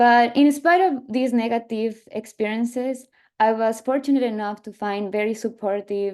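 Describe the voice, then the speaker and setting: Speaking with an Ecuadorian accent, a woman with a fairly high pitch and a dark, mellow tone keeps a moderate pace and fairly even intonation over a quiet background. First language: Spanish. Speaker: PhD student, field biologist. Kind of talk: panel talk with slides. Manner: halting, many fillers.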